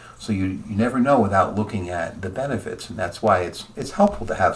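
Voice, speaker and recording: A man talks with a fairly low pitch and ordinary pitch variation. There is noticeable background noise. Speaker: insurance agent. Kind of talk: tutorial. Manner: fast.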